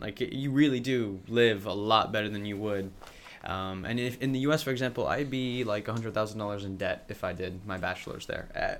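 A man with an American accent and an ordinary speaking voice, medium pitch, ordinary pitch variation and a fairly quick pace. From US, raised mostly overseas. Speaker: student podcast member. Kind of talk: casual chat.

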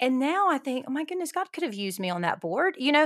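Over a silent background in a very clean recording, the speaker goes at a fairly quick pace with very wide pitch swings and a Southern US accent. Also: woman. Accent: Southern American. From Alabama, US South. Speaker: ministry leader and writer. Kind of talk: casual interview.

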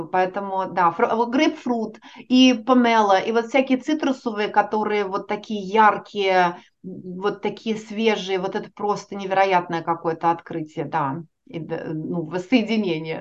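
At a fairly slow pace, a woman talks in a medium pitch with a normal speaking voice. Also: ordinary pitch variation. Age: 40s. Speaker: organizational psychologist. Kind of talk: interview.

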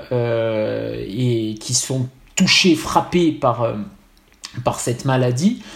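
Noticeable background noise runs under this clip. A man talks with lively intonation. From Corsica. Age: 40s. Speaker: psychoanalyst and writer. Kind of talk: interview.

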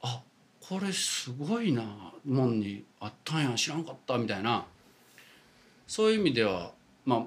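Long, frequent pauses break up this man's speech at a moderate pace. His medium-pitched voice makes very wide pitch swings. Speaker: Buddhist priest. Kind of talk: casual chat.

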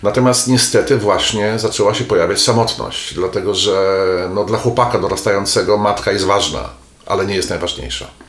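Fairly quick male speech amid noticeable background noise and audible room echo. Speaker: psychotherapist. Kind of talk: casual interview conversation. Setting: therapist's office. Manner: animated, expressive.

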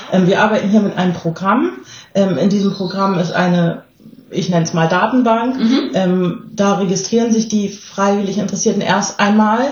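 A woman speaks at a medium pitch with ordinary pitch variation, a moderate pace and very even loudness, her voice carrying audible room echo. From southern Germany. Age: 30s. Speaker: volunteer agency staff member. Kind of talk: casual interview.

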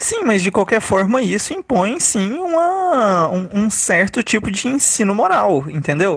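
Over noticeable background noise, a man with a high voice talks in an animated tone with very wide pitch swings, keeping a fairly slow pace with hardly any pauses. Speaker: podcast host. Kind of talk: casual chat.

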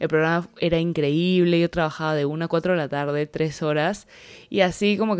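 On a very clean recording with a silent background, a woman with a very deep, low pitch speaks at a fairly quick pace with fairly even intonation. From Peruvian Amazon. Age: 20s. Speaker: podcaster and social media creator. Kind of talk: podcast trailer monologue.

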